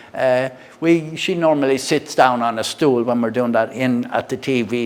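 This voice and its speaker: This man speaks at a moderate pace and a medium pitch, with fairly even intonation. Noticeable background noise runs behind him. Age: 60s. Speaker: product reviewer. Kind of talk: casual product review and demo. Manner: halting, many fillers and repeats.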